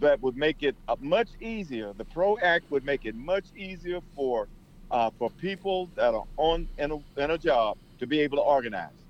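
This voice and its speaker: Here is a man with an unremarkable speaking voice and a fairly high pitch. He speaks at a moderate pace with lively intonation. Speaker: political campaigner. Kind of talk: radio interview.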